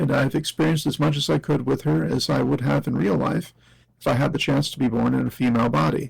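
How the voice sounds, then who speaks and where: A man talks at a fairly quick pace with vocal fry. His medium-pitched voice makes very wide pitch swings. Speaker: interview guest. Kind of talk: reading aloud.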